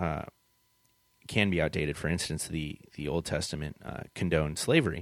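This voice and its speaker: Vocal fry runs through a man's speech, delivered at a moderate pace. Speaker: podcast host. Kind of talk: casual chat. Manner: halting.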